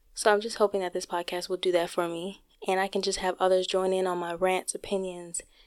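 Soft-spoken at a medium pitch, a woman talks at a moderate pace on a very clean recording with a silent background. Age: 20s. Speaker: podcast host; college student. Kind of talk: solo podcast introduction, casual direct address. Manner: shy, somewhat hesitant.

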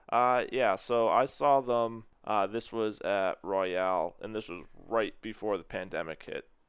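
A man's normal speaking voice at a medium pitch and a fairly slow pace. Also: ordinary pitch variation. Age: 20s. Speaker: music fan. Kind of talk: casual chat.

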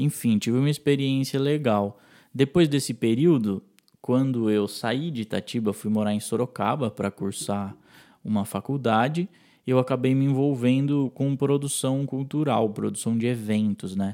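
With a dark, mellow tone, a man speaks at a moderate pace and ordinary pitch variation on a very clean recording with a silent background. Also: medium pitch for a man. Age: 20s. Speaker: music producer and musician. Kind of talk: recorded interview testimony.

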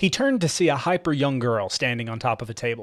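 Lively intonation in an unforced reading voice.

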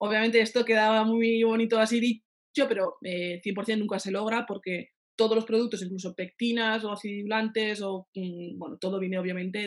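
With an ordinary speaking voice, a woman talks at a moderate pace in a medium pitch and with fairly even intonation. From Navarre, Spain (Pamplona). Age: 30s. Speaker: pastry chef. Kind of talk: interview.

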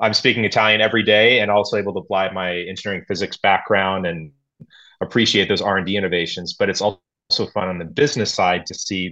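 A man with a fairly low pitch and a bright, sharp tone speaks at a fairly quick pace against a quiet background. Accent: American. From United States. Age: young. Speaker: expat business professional. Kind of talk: conversational interview. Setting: video call.

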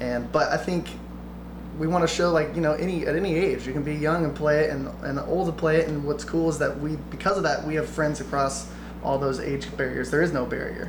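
A man with an American accent speaks at a fairly quick pace. Room echo and noticeable background noise are audible. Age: 20s. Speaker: bluegrass musician. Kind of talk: casual interview chat.

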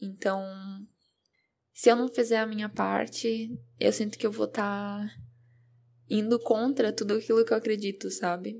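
A woman speaks with flat, monotone intonation at a fairly high pitch. Long, frequent pauses break up her speech on a very clean recording with a silent background. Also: moderate pace. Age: 20s. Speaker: self-development podcaster. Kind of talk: personal monologue. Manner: hesitant, repeats words.

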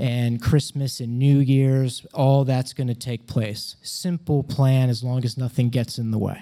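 Speaking at a fairly slow pace with hardly any pauses, a man with an American accent has a medium pitch, a dark, mellow tone and monotone, flat intonation. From United States. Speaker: comedian and storyteller. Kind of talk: personal storytelling performance. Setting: stage with audience.

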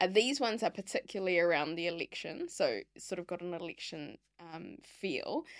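Over a very clean recording with a silent background, a woman with a New Zealand accent and fairly low pitch talks at a moderate pace with hardly any pauses, lively intonation and big swings in loudness. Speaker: podcast host, former lobbyist. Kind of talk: podcast interview. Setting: podcast studio.

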